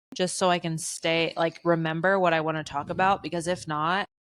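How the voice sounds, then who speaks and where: A woman's ordinary speaking voice, fairly low in pitch. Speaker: podcast co-host. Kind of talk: casual chat.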